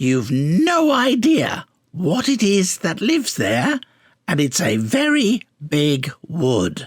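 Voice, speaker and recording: A man does a put-on character voice, high in pitch with very wide pitch swings. He goes at a very slow pace. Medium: read story. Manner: offhand, casual.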